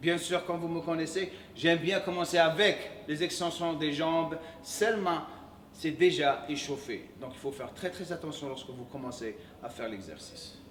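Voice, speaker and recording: A man speaks at a moderate pace in a high voice, with ordinary pitch variation and big swings in loudness. Audible room echo and noticeable background noise surround him. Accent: English. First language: English (speaking French). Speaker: fitness coach. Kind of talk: workout tutorial. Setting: gym. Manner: hesitant, self-correcting.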